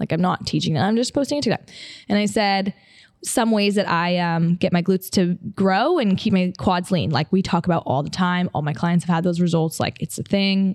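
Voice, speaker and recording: A woman with a plain, everyday voice and an American accent, medium in pitch with ordinary pitch variation, at a fairly quick pace, in a dry, close sound with no echo on a very clean recording with a silent background. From upstate New York. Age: 20s. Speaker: podcast host, personal trainer and model. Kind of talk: casual solo podcast talk. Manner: casual, filler-heavy.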